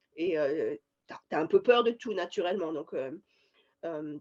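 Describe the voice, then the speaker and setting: Lively intonation marks a woman's speech at a very slow pace. The sound is dry and close, with no echo. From France, Paris region. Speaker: scientist. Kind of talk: interview. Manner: halting, many hesitations.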